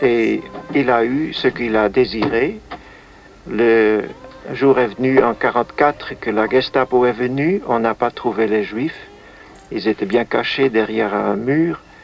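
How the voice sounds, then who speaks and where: Over music in the background, a man at medium pitch talks at a fairly slow pace with ordinary pitch variation and long, frequent pauses. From Netherlands. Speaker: musician and composer; witness of wartime events. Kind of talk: interview answer.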